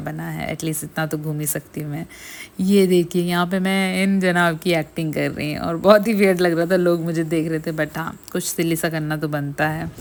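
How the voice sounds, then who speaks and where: At a moderate pace, a woman with a very deep, low voice speaks with fairly even intonation on a very clean recording with a silent background. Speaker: vlogger. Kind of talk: vlog narration.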